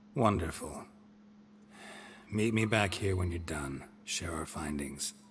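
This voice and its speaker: Amid clear background noise, a put-on character voice delivers its lines in a deadpan tone at a fairly slow pace. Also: man, very deep, low pitch for a man. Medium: video game. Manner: terse, deadpan.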